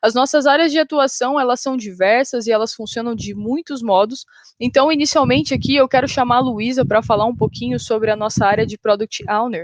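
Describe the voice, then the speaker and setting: Speaking in an interior São Paulo accent, a woman with a high pitch and ordinary pitch variation moves at a fairly quick pace with hardly any pauses. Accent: caipira rhotic R of interior São Paulo. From interior of São Paulo state, Brazil. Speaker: software developer, panel moderator. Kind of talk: conference panel hosting.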